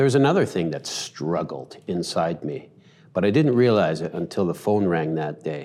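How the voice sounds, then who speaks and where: With a Western Canadian accent, a man speaks at a moderate pace in a very deep, low voice. His tone is dark and mellow, and his intonation is lively. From Canada, Vancouver. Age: 50s. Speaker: church elder. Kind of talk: testimony.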